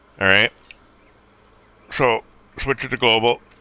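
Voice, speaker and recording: A man speaking at a moderate pace. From Canada. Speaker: game streamer. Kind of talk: tutorial. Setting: live stream. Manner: casual.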